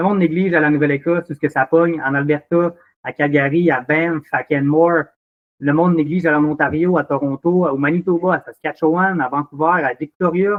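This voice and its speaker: A man speaks at a fairly quick pace in a Quebec accent. His pitch is fairly high. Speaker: drinks company operations manager. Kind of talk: casual interview. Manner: animated.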